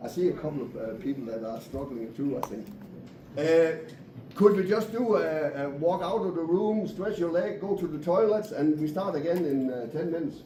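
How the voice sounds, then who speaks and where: Lively intonation comes through audible room echo and noticeable background noise. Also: man, high pitch for a man, moderate pace. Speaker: poultry industry speaker. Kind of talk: conference presentation. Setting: meeting room with audience.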